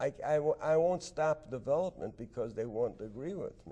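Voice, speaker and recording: The man's tone is dark and mellow. He keeps a moderate pace. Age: 70s. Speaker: politician. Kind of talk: interview answer.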